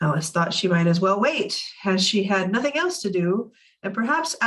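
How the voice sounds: Lively intonation in a natural reading voice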